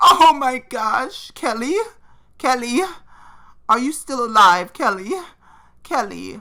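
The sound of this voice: A man puts on a character voice with an extremely high pitch and a bright, sharp tone. He goes at a slow pace, and his intonation is lively.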